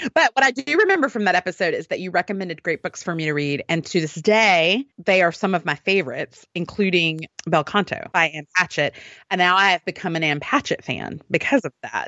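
A woman's animated tone, fairly quick pace and lively intonation. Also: medium pitch for a woman. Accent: Southern US. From US South, Alabama. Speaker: podcast co-host. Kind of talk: casual chat.

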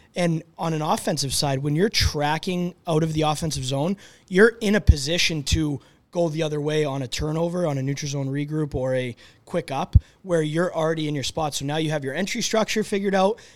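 This man has an ordinary speaking voice, pitched fairly high, with ordinary pitch variation. He talks at a fairly quick pace. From Boston, US. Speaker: hockey coach. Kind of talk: casual chat. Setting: studio.

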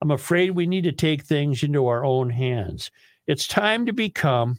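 Using a normal speaking voice, a man talks at a moderate pace and a fairly high pitch. His intonation is lively. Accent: American. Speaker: talk radio host. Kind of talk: casual chat.

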